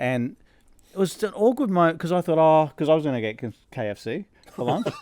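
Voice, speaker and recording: Using an Australian accent, a man talks at a fairly quick pace in a fairly high pitch with very wide pitch swings. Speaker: podcast host. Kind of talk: casual chat. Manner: fast.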